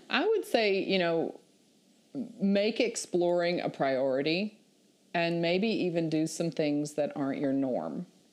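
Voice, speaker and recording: The speaker uses lively intonation in a Southern US accent. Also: woman, fairly low pitch for a woman. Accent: Southern US (Georgia). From US South, southeast Georgia. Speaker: remote worker, meetup group leader. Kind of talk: casual interview.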